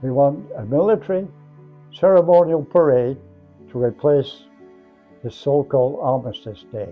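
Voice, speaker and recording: With music in the background, a man speaks at a moderate pace and a fairly high pitch, leaving long, frequent pauses. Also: lively intonation. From England. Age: 80s+. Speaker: war veteran; former combat medic. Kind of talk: spoken history reflection.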